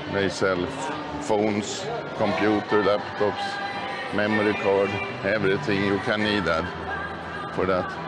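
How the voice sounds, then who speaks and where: With music in the background, a man speaks at a fairly slow pace, leaving long, frequent pauses, with ordinary pitch variation. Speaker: tourist vlogger. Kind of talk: casual walking tour commentary. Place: shop. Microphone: phone near.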